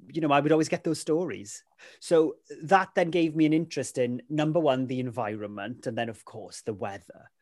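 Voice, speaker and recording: A fairly high-pitched male voice with a South Wales accent, ordinary pitch variation, and a quiet background. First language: Welsh. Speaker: weather presenter. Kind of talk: casual chat. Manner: animated.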